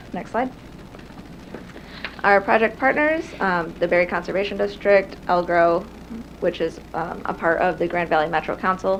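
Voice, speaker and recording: Soft-spoken and fairly low-pitched, a woman talks at a fairly quick pace with ordinary pitch variation over noticeable background noise. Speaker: conservation program coordinator. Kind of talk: presentation. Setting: city council meeting room.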